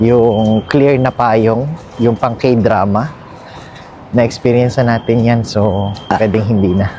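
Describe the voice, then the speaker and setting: Over noticeable background noise, a man talks at a very slow pace with very even loudness, a medium pitch and fairly even intonation. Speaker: travel vlogger. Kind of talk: casual vlog narration.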